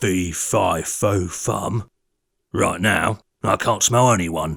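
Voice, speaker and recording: A raspy, rumbling put-on character voice at a very slow pace, on a very clean recording with a silent background. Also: man, very deep, low pitch for a man. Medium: read story.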